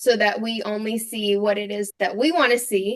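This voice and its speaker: A woman with an American accent, fairly high pitch, monotone, flat intonation and a fairly slow pace. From US South (Atlanta and Nashville). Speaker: professor. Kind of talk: podcast interview.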